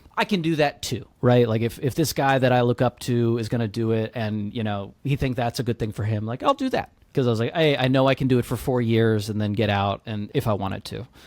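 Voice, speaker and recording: A man with a plain, everyday voice and an American accent talks at a fairly quick pace, medium in pitch. His intonation is fairly even, and the sound is dry and close with no echo. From US South, Georgia near Atlanta. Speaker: startup founder, military veteran. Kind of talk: podcast interview. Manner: casual, filler-heavy.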